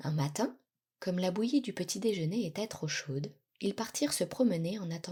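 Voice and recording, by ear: The speaker reads aloud in a natural voice against a quiet background.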